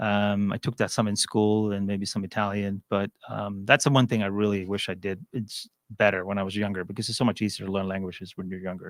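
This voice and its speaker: A man speaks at a fairly quick pace in a monotone, flat intonation. The sound is dry and close with no echo, in a very clean recording with a silent background. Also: fairly low pitch for a man. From Sweden. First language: Swedish. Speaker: finance executive. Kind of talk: interview.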